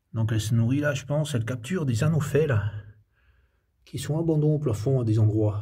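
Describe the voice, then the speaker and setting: Soft-spoken and somewhat breathy, a man with a dark, mellow tone and ordinary pitch variation talks with long, frequent pauses in a room with audible echo. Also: medium pitch for a man, fairly quick pace. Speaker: amateur naturalist. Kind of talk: nature walk vlog. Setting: outdoors, in a cave. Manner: hesitant.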